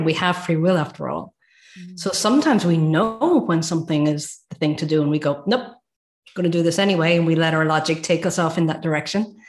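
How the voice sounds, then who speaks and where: A woman with an Irish accent speaks at a fairly quick pace, her somewhat breathy voice carrying ordinary pitch variation over a quiet background. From Ireland. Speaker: transformative coach, former nursing director. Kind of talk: casual interview chat.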